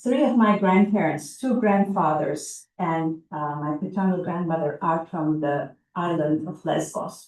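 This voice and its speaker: Speaking with a Turkish accent, a woman goes at a fairly slow pace with hardly any pauses. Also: fairly low pitch for a woman, ordinary pitch variation. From Turkey. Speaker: psychologist. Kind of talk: oral history interview.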